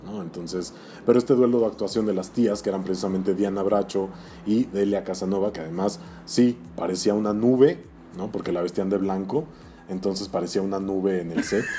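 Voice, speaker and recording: With a Mexican accent, a man talks at a fairly quick pace and ordinary pitch variation as music plays in the background. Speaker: toy collector. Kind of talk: casual chat.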